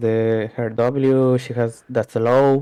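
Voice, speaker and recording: This man speaks very slowly with a non-native accent, his medium-pitched voice dark and mellow and his intonation monotone and flat. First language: not English. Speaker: player being coached. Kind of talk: coaching session. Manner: halting.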